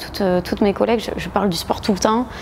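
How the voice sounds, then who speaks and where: Over noticeable background noise, a woman with a southwestern French accent speaks at a medium pitch with ordinary pitch variation. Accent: southwest French. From southwest France (Agen). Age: 30s. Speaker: gym member, former boxer, lawyer. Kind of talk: interview testimony. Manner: hesitant, many filler sounds.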